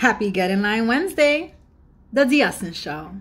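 An American accent marks this woman's animated tone. She talks at a fairly slow pace. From Bronx, New York. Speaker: comedian show host. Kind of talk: comedic angry rant to camera. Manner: animated, indignant, sarcastic. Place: home room. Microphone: phone near.

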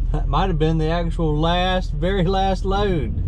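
Speech comes at a moderate pace in a dry sound with no echo, over noticeable background noise. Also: man. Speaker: landfill worker vlogger. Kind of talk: casual vlog chat. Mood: excited, cheerful. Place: car. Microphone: phone near.

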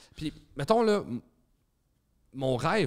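In a Quebec accent, a man speaks at a moderate pace with very wide pitch swings against a quiet background. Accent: Québécois French. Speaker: stand-up comedian and comedy club owner; stand-up comedian. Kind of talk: casual chat. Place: studio. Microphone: studio mic.

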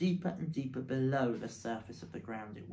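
Everything here is spoken in an unforced reading voice.

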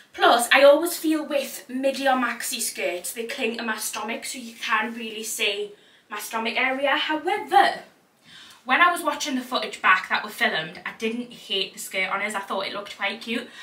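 A woman with a bright, sharp tone and a fairly high pitch talks at a moderate pace with ordinary pitch variation, and an audible room echo surrounds her voice.

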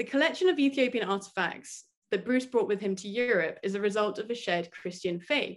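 A woman talks at a fairly quick pace with a fairly high pitch and lively intonation. She has a plain, everyday voice. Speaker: doctoral student. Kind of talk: academic presentation. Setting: video call.

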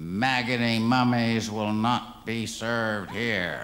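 Over clear background noise, a man growls through a put-on character voice at a medium pitch and a very slow pace. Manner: snarling, hostile.

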